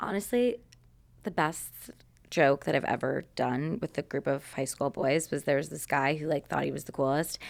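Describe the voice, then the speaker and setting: This woman has an American accent and a very deep, low pitch with vocal fry. Her pitch varies in an ordinary way, and the recording is very clean with a silent background. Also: moderate pace. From Chicago area, US Midwest. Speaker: social media creator. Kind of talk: casual chat. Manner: loud; animated.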